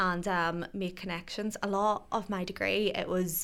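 A woman's medium-pitched voice with a Northern Irish accent. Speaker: radio presenter. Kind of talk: casual chat. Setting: studio. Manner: fast.

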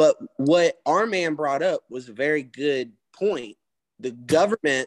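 His voice is fairly high for a man, with a Southern US accent and lively intonation. The sound is dry and close, with no echo. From US South. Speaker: podcast co-host. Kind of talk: casual chat.

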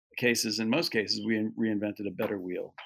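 Recorded very cleanly against a silent background, a man with a normal speaking voice talks at a fairly quick pace and medium pitch, his intonation fairly even. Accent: American. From New York. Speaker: animal sanctuary co-founder. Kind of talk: interview.

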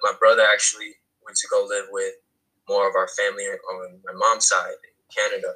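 A man with an American accent, extremely high in pitch, raised and projected, with monotone, flat intonation. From North New Jersey. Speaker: artist and filmmaker. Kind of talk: casual chat interview. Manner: halting, repeats words.

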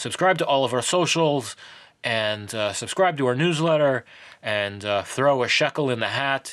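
At a moderate pace, the speaker talks with lively intonation and an American accent. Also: man, medium pitch for a man. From New York. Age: 30s. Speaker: podcast host. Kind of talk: casual interview. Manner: animated.

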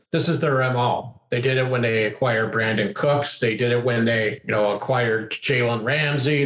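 At a moderate pace, a man speaks in an ordinary speaking voice with a medium pitch. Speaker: sports podcast co-host. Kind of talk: casual chat.

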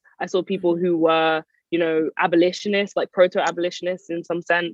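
A woman in a London accent, fairly low-pitched, with a monotone, flat intonation. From North London, Edmonton. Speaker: writer and PhD researcher. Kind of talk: interview.

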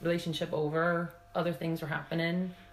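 A woman with a Pennsylvania accent, fairly low-pitched, at a moderate pace, with music in the background. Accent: American, Pennsylvania. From Pennsylvania, US. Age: 50s. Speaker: former basketball player. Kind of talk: casual interview chat.

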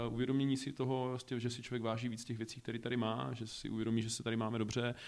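A man at a medium pitch with monotone, flat intonation and a very fast pace. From Czechia, Olomouc. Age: 30s. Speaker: regional director. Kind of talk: interview.

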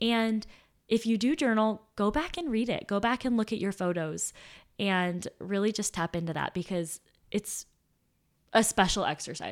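On a very clean recording with a silent background, a woman with an unremarkable speaking voice talks in a medium pitch with lively intonation. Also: moderate pace. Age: 20s. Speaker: podcast co-host. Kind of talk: casual chat.

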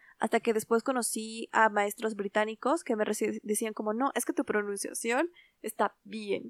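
Recorded very cleanly with a silent background and a dry, close sound with no echo, a woman with a fairly high pitch and ordinary pitch variation speaks at a moderate pace in an unremarkable speaking voice. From Latin America, Spanish-speaking country. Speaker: podcast co-host. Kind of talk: casual chat.

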